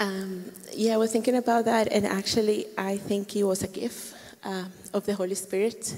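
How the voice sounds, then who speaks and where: A woman's monotone, flat delivery in a Colombian accent, over noticeable background noise. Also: medium pitch for a woman, moderate pace. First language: Spanish. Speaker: church member, volunteer. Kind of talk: interview testimony.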